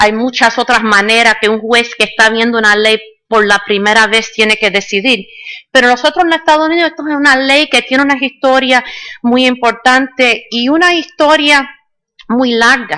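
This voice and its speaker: Her tone is bright and sharp, set at a high pitch for a woman. She talks at a moderate pace with ordinary pitch variation. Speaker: judge. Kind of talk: conference talk. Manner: halting, with fillers.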